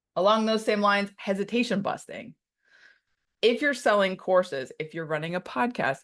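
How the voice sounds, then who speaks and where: Medium-pitched speech from a woman, ordinary pitch variation, quiet background. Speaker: webinar host. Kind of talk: live product tutorial. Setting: live online session. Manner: fast.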